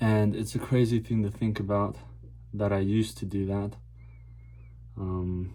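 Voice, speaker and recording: Mumbling at a fairly slow pace, a man with a fairly low pitch and a dark, mellow tone uses ordinary pitch variation and long, frequent pauses. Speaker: vlogger. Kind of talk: casual monologue vlog. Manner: stutters and mumbles.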